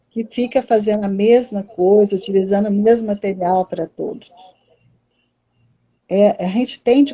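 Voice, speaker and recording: Somewhat breathy and dark, mellow in tone, a woman talks at medium pitch with lively intonation. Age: 60s. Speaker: psychologist and educational psychology lecturer. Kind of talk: live-stream talk. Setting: online live stream.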